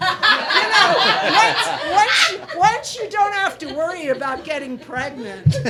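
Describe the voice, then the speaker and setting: In a raised, projected voice, a woman speaks at a very slow pace with very wide pitch swings. Audible room echo and noticeable background noise surround her. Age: 60s. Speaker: playwright. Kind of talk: casual chat.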